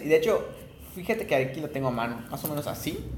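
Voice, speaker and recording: Talking at a very fast pace, a man with a fairly high voice is heard through noticeable background noise and audible room echo. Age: 20s. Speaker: podcast co-host. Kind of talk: casual chat.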